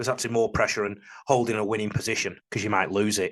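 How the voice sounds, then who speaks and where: A man talks at a very fast pace. He has a northern English accent. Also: quiet background. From northern England. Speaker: rugby league coach and commentator. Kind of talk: video analysis monologue. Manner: emotional, passionate.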